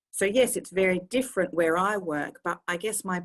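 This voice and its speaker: A woman with an Australian accent talks at a moderate pace with ordinary pitch variation. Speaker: medical director of a harm reduction service. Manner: animated.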